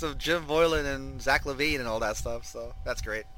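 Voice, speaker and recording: With an unremarkable speaking voice, a man talks at a fairly high pitch with ordinary pitch variation. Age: 40s. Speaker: sports podcast host. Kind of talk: casual chat.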